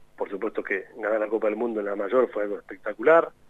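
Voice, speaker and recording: A man at a very fast pace. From Argentina, Tandil (Buenos Aires province). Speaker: youth national team coordinator, former footballer. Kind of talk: radio interview.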